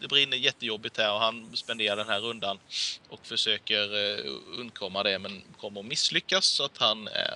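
Lively intonation comes with a bright, sharp tone. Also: man.

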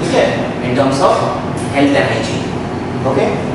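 A man speaks amid loud background noise and audible room echo. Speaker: ethics lecturer. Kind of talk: lecture. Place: classroom.

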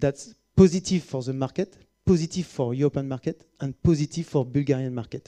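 Over a quiet background, a man with a dark, mellow tone and fairly high pitch talks at a fairly quick pace with ordinary pitch variation. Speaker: company executive; presenter. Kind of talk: conference presentation. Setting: stage with audience. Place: hall. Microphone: headset.

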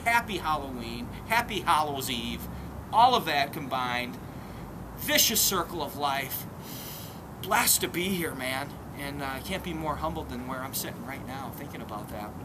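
A man with an Upper Midwest accent, fairly high pitch, lively intonation and big swings in loudness, at a moderate pace with long, frequent pauses, over noticeable background noise. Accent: Upper Midwest American. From Minnesota, St. Paul; Minnesota. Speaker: vlogger, antiques picker; vlogger. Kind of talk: casual vlog monologue. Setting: outdoors in a cemetery, on crypt steps. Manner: animated. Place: open country.

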